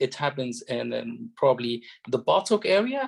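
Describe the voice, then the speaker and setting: A man speaks with an Arabic accent. His pace is fairly slow. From Egypt. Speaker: doctor and medical exam tutor. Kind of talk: lecture. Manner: halting, many fillers.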